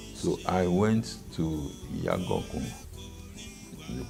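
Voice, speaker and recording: Over music in the background, a man speaks at a very slow pace with lively intonation. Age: 80s+. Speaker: highlife musician. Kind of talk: interview answer.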